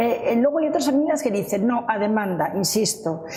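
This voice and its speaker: At a fairly quick pace, a woman's voice makes very wide pitch swings, with audible room echo and noticeable background noise. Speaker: family finance educator. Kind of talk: panel discussion. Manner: fast.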